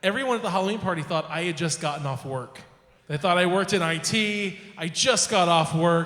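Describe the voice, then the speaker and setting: A man talks quickly in a high voice with ordinary pitch variation. Noticeable background noise and audible room echo fill the recording. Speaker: poetry slam host. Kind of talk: live emcee banter. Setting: stage with audience in a bar. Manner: halting, self-correcting.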